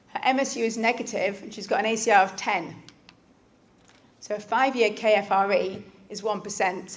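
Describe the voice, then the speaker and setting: A woman with a fairly high voice. There is audible echo from the room. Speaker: doctor. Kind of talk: lecture. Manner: fast.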